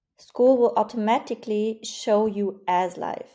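A woman speaks with a dark, mellow tone and ordinary pitch variation. The background is quiet. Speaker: online community coach. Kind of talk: tutorial.

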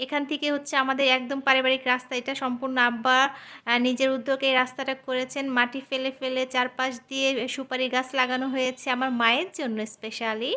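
In a very clean recording with a silent background, a woman projects a raised, high-pitched voice that is bright and sharp in tone yet flat and monotone. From Bangladesh, Faridpur. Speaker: family vlogger. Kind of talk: vlog narration.

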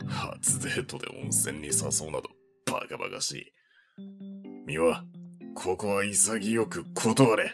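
A man's put-on character voice, fairly low and fairly slow, over faint music in the background. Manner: stern, blunt, terse.

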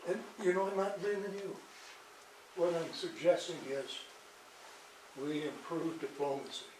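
A man with a high pitch and fairly even intonation speaks at a moderate pace with long, frequent pauses, amid noticeable background noise and audible room echo. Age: 80s+. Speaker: resident speaking at council meeting. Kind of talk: public comment. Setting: city council meeting.

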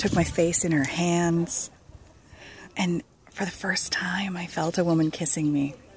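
A woman with a somewhat breathy voice at fairly low pitch speaks at a fairly slow pace with fairly even intonation, the sound dry with no echo and light background noise behind her. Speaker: storyteller. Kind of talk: personal storytelling, spoken-word memoir. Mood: wistful, tender, amused. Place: garden. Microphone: phone near.

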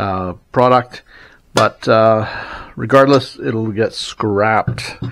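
Over a quiet background, a man speaks at a very slow pace. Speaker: antiques reseller. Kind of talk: casual haul commentary.

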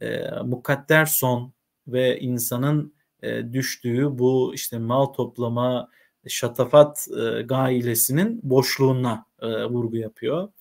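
Fairly even in intonation, a man talks at a very slow pace. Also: medium pitch for a man, quiet background. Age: 30s. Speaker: literature teacher; teacher reading. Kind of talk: reading aloud with commentary. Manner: hesitant, frequent filler sounds. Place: home room.

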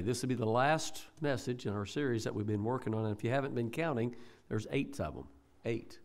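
A man speaks at a very fast pace. His pitch shows ordinary variation. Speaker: pastor. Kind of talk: sermon. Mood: warm, conversational. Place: church. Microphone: podium.

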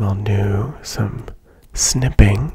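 A man is whispering. He is soft-spoken. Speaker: ASMR creator. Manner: soft-spoken ASMR whisper. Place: home room. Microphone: studio mic.

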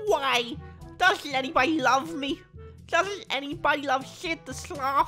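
A female-sounding put-on character voice, high-pitched and fairly slow, over clear background music. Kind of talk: character voice impression. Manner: plaintive, pleading. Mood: mock self-pitying.

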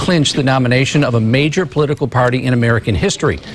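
Over noticeable background noise, a man speaks very fast in a fairly high pitch. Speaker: news anchor. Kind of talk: news reading. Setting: studio.

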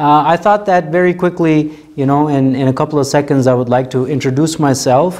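Against a quiet background, a man with an American accent talks at a moderate pace in a dark, mellow tone with ordinary pitch variation. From United States. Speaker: religious scholar. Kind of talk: welcome message. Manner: halting, many fillers. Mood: warm, welcoming. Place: hall.

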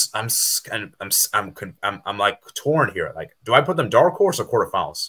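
The background is quiet as a man speaks at a moderate pace. His bright, sharp tone carries vocal fry. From USA. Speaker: football YouTuber. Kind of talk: casual chat. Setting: video call. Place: home room. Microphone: headset.

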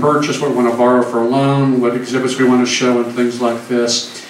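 A man's monotone, flat delivery comes with audible room echo and light background noise. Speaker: museum host introducing speaker. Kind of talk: speaker introduction. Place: hall.

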